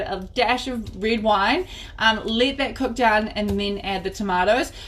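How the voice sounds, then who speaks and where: A woman with a New Zealand accent and lively intonation. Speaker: cooking class host. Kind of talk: live cooking tutorial. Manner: fast.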